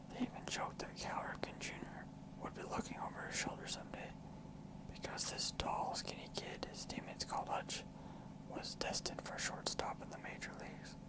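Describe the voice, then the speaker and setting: A whispering voice comes through over noticeable background noise. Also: fairly quick pace. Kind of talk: whispered ASMR book reading. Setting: studio, close microphone.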